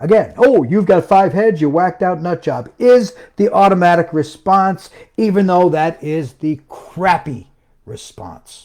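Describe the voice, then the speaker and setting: Pitched high for a man, his animated voice moves with lively intonation at a fairly slow pace. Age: 60s. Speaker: self-published author and home business promoter. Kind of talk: live stream rant. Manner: emphatic.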